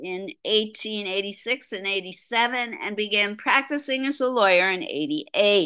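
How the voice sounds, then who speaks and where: The voice has a bright, sharp tone and lively intonation. The background is quiet. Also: woman. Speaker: art lecturer. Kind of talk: lecture. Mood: light, mildly humorous. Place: home room. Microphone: video call.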